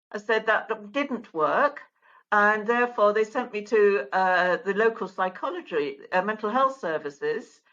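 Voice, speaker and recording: A woman with an English accent speaks at a fairly high pitch. Her intonation is lively and her pace fairly slow. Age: 70s. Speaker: mental health advocate. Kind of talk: interview testimony.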